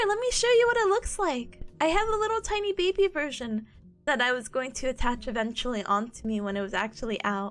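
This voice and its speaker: Animated, fairly quick speech from a woman, with very wide pitch swings and music in the background. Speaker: streamer; student. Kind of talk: casual chat.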